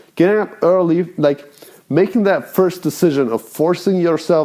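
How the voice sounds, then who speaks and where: A man with a non-native accent speaks at a fairly slow pace. His tone is dark and mellow, with lively intonation. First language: not English. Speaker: self-improvement vlogger. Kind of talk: casual monologue. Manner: rambling, halting.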